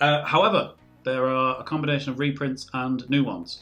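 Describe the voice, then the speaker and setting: Music plays in the background as a man talks with a British accent. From Britain. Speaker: podcast co-host. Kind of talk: casual chat.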